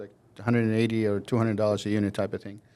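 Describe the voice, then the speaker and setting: A man talks with an Albanian accent. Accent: Albanian, Southern European. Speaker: mortgage broker, company CEO. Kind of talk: interview. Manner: hesitant fillers.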